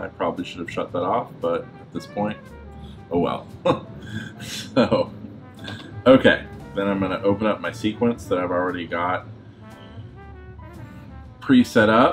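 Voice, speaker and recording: Faint music plays behind a man with a fairly low pitch who speaks at a moderate pace with ordinary pitch variation and long, frequent pauses. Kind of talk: tutorial. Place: home room. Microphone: webcam.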